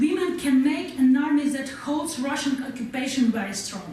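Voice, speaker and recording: A woman's high voice with a Ukrainian accent at a moderate pace, over noticeable background noise. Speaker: war veteran. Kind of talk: speech to an audience. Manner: halting non-native English.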